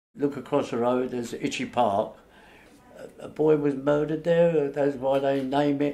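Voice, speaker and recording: A man with a Cockney accent speaks at a moderate pace, his fairly high pitch showing ordinary variation. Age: 80s+. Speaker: local elder giving a walking tour. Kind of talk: oral history reminiscence. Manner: halting.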